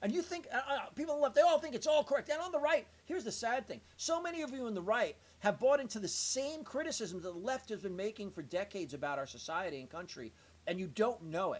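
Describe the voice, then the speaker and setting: Speaking at a very fast pace with an American accent, a man talks at an extremely high pitch with very wide pitch swings. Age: 60s. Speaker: political commentator. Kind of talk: explainer monologue. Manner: halting, many repeated words.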